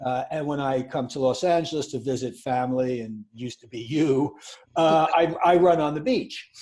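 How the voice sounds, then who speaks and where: This voice has a dark, mellow tone and a New York accent. It moves at a moderate pace with fairly even intonation. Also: man. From New York City. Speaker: podcast co-host. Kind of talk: casual chat.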